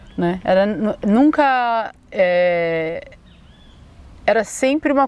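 A woman with lively intonation. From Brazil, São Paulo. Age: 30s. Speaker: educator and artist. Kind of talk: casual interview conversation. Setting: outdoors in a park.

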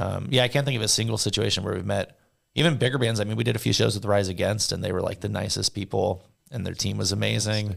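Speaking at a very fast pace with a Californian accent, a man uses a fairly low pitch with vocal fry. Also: ordinary pitch variation. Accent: Californian American English. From Southern California. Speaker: touring rock band member. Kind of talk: casual chat interview.

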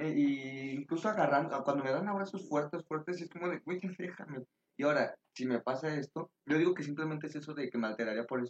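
An unremarkable speaking voice moves at a fairly quick pace with ordinary pitch variation, recorded with a dry, close sound and no echo. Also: man, fairly high pitch for a man. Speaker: podcast guest. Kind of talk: casual chat.

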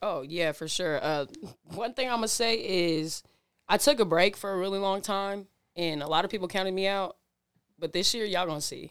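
In an American accent, a woman with an unremarkable speaking voice talks at medium pitch and a moderate pace with ordinary pitch variation, on a very clean recording with a silent background. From Washington (Seattle area, Burien). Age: 20s. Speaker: singer. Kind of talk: casual chat.

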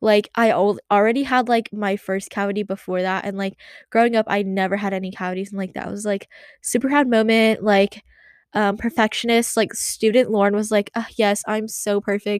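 Delivery comes at a moderate pace with fairly even intonation in a dry, close sound with no echo. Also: woman, medium pitch for a woman. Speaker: podcaster. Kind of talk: casual solo rant. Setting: home closet room. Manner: monotone.

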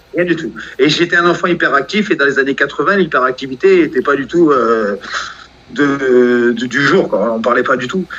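A man talks at a moderate pace at a fairly high pitch with ordinary pitch variation. Noticeable background noise runs underneath. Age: 40s. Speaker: professional boxer. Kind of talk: interview.

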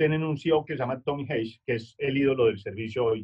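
A normal speaking voice from a man, fairly high in pitch, at a fairly quick pace. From Colombia, Manizales. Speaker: customer service speaker and author. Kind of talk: webinar lecture.

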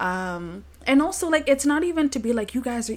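In a Toronto accent, the speaker goes at a moderate pace on a very clean recording with a silent background. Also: woman. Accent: Canadian (Toronto). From Toronto, Canada. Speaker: podcast co-host. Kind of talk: casual chat.

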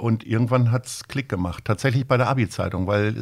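A man races along at a very fast pace, his intonation staying fairly even. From Lower Saxony, near Hanover. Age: 50s. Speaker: agency owner and charity founder. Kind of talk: interview. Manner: hesitant with frequent fillers.

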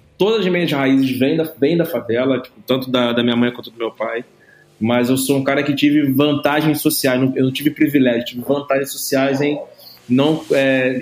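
Against noticeable background noise, a man at medium pitch speaks at a moderate pace with fairly even intonation. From Brazil, Rio de Janeiro. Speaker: entrepreneur in music and media. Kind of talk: podcast interview. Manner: casual, slangy.

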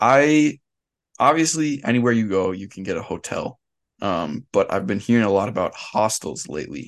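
Speaking at a medium pitch, the man's voice moves through very wide pitch swings. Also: moderate pace. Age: 20s. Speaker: podcast co-host. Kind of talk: casual chat.

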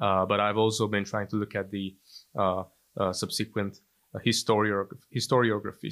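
This man speaks in a monotone, flat delivery. The recording is very clean, with a silent background. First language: Hungarian. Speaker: historian and journalist. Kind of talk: interview. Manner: halting.

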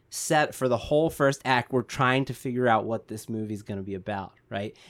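A man uses an ordinary speaking voice at medium pitch with fairly even intonation. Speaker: screenwriting podcast co-host. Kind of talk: casual chat.

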